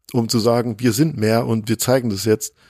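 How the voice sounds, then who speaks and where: Using an unremarkable speaking voice, a man talks at a moderate pace with a medium pitch. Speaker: DJ and podcaster. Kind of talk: interview. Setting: remote call from home office.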